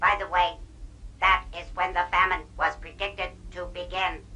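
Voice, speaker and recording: A cartoonish character voice at a moderate pace over clear background noise. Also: female-sounding voice, medium pitch for a woman. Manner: stiff, formal, no contractions.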